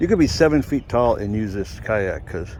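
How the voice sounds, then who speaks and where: A man is speaking. He keeps a moderate pace. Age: 60s. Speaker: kayak reviewer. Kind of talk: casual product review. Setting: outdoors at a lake.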